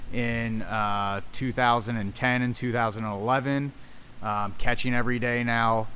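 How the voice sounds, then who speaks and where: Music plays in the background as a man talks with an American accent. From US Northeast, Philadelphia area. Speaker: minor league baseball general manager. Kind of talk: interview. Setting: outdoors at a ballpark.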